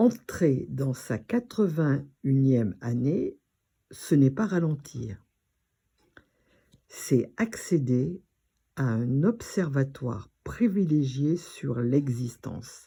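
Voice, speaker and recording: A woman speaks at a very slow pace with long, frequent pauses, her pitch very deep and low yet swinging very widely. Her tone is dark, mellow and somewhat breathy. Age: 80s+. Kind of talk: personal talk to camera.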